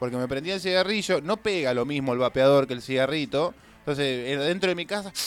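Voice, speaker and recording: Here a man with an ordinary speaking voice talks at a fairly quick pace and fairly high pitch, with ordinary pitch variation. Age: 20s. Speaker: radio host. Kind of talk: casual chat.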